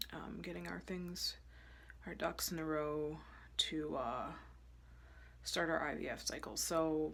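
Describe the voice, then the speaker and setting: A woman speaks at a fairly slow pace with long, frequent pauses, and audible room echo surrounds her. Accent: American. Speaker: fertility vlogger. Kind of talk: casual vlog.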